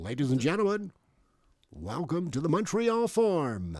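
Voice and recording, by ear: A man's put-on character voice, high-pitched with very wide pitch swings, at a moderate pace.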